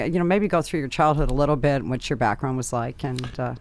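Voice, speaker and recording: On a very clean recording with a silent background, a woman with a very deep, low pitch speaks with an American accent and ordinary pitch variation. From US Midwest, Chicago area. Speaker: podcast host. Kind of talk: interview. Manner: halting, many fillers.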